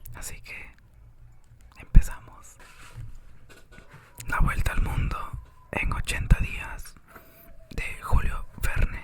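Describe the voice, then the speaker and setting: A man whispers at a very slow pace, leaving long, frequent pauses. His loudness swings widely over noticeable background noise. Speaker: ASMR reader. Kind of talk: whispered audiobook reading for sleep. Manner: whispered, soft, relaxing.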